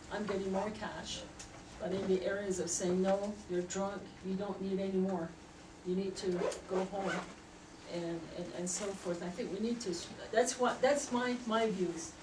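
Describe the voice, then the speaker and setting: A woman's fairly even voice at a moderate pace, with long, frequent pauses and noticeable background noise. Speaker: member of the public giving comment. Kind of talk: public comment at a meeting. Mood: earnest, emotional. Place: meeting room. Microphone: camera far.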